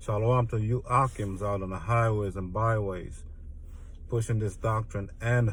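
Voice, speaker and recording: A man speaks in a fairly low, somewhat breathy voice. His intonation is monotone and flat, and his pace is fairly slow. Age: 60s. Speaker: religious speaker. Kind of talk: spiritual rant. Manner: casual, halting with fillers.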